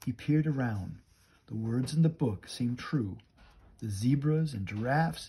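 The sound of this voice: The delivery is an unforced reading voice. It stays that way throughout.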